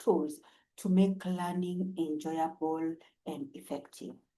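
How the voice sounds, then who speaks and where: A woman with a Kenyan accent speaks at a fairly slow pace in a medium-pitched, somewhat breathy voice with a dark, mellow tone. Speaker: English teacher. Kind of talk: self-introduction to camera. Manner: friendly, warm.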